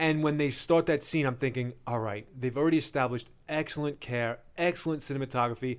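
A man talks at a fairly quick pace with hardly any pauses and fairly even intonation. The recording is very clean, with a silent background. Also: fairly high pitch for a man. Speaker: podcast co-host, movie critic. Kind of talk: casual chat. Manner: loud.

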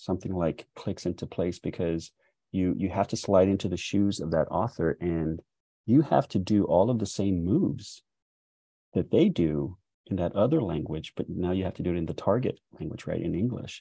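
This man has an American accent and a very deep, low pitch with a dark, mellow tone. He talks at a moderate pace with ordinary pitch variation. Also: dry, close sound with no echo, quiet background. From South Texas. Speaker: poet and writer. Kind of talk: casual interview chat. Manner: halting, many fillers.

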